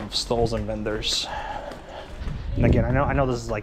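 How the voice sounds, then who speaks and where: A man at a fairly quick pace amid audible room echo and noticeable background noise. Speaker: travel vlogger. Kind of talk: casual walking vlog narration. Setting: outdoors, street market. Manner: fast; hesitant, many fillers.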